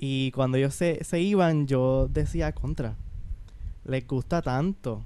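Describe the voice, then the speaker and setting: A man with a medium pitch speaks at a very slow pace, with ordinary pitch variation and very even loudness. Noticeable background noise runs under his voice. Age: 20s. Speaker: young student and aspiring missionary. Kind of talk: interview testimony. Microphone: too far from the mic.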